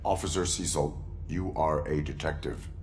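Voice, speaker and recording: Using a put-on character voice, a man speaks in a very deep, low pitch at a moderate pace over clear background noise. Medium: video game. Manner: terse, monotone.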